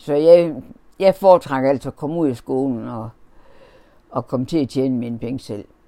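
A woman speaks at a moderate pace in a very deep, low pitch with a dark, mellow tone, ordinary pitch variation, big swings in loudness, and long, frequent pauses. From Denmark, Horsens (East Jutland). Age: 80s+. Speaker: interviewee recalling childhood. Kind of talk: oral history interview. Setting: at home. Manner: halting.

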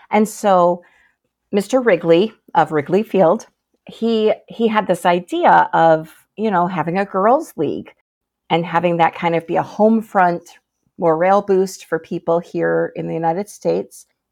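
A woman with a fairly low pitch talks at a fairly slow pace in an Upper Midwest accent. Her pitch varies an ordinary amount, and the background is quiet. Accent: Upper Midwest American. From Michigan, US. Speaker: novelist. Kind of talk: interview.

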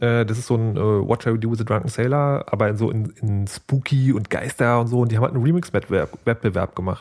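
Speaking at a fairly quick pace with hardly any pauses, a man keeps a medium pitch and ordinary pitch variation. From Saxony, Dresden. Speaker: podcast host. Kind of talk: casual chat.

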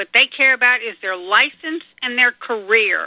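Speaking at a fairly slow pace, a woman with a high-pitched voice and an American accent uses ordinary pitch variation. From North Carolina. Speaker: caller. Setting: phone call.

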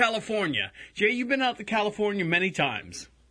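Against a quiet background, a man with a high pitch and a bright, sharp tone speaks at a fairly quick pace in a raised, projected voice. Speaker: internet radio host. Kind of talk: casual chat.

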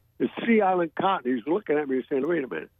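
Very wide pitch swings in a fairly high male voice. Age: 80s+. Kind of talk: storytelling interview. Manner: animated.

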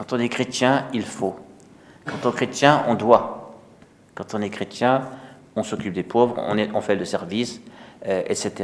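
Very slow delivery with ordinary pitch variation. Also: man. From Alsace, France. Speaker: priest. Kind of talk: sermon. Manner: halting.

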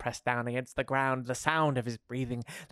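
What you hear is plain reading aloud.

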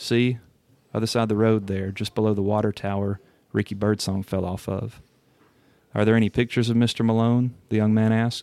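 In an American accent, a man speaks fairly quickly at a fairly low pitch, with a dark, mellow tone and monotone, flat intonation. The recording is very clean, with a silent background. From Alabama, US South. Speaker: author. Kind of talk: casual interview chat.

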